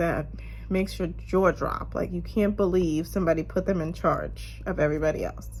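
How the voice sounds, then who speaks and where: Noticeable background noise and audible room echo fill the recording. Through them, a woman speaks at a moderate pace. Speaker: vlogger. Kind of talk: casual chat.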